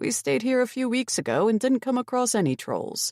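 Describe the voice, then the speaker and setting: A woman's put-on character voice, high in pitch, at a fairly quick pace, in a very clean recording with a silent background. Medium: read story. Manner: friendly, reassuring.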